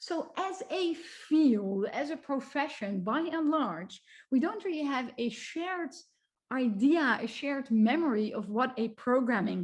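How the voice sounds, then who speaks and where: A woman with a high pitch talks at a fairly slow pace, her voice making very wide pitch swings. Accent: Dutch. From Netherlands. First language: Dutch. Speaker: computer science researcher. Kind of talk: lecture.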